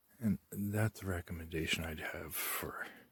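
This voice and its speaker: Quiet and somewhat breathy, a man speaks at a fairly slow pace with fairly even intonation, the sound dry and close with no echo. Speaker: UFO and spirituality vlogger. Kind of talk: casual vlog monologue. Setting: outdoors in backyard at night. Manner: speaking very quietly.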